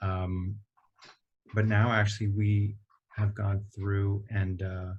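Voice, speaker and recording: A somewhat breathy man with monotone, flat intonation, over a quiet background. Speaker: company executive. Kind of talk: interview. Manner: hesitant, many fillers.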